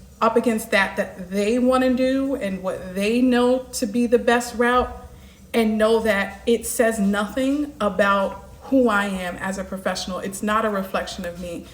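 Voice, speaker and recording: Against audible room echo, a woman speaks at a fairly high pitch and a moderate pace with fairly even intonation. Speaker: life coach. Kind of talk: live stream monologue.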